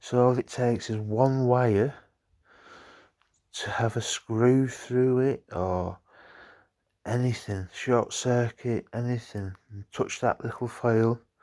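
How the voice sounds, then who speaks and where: Mumbling at a very slow pace with long, frequent pauses, a man in a northern English accent speaks at medium pitch with a dark, mellow tone and fairly even intonation, on a very clean recording with a silent background. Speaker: vlogger. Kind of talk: casual vlog chat.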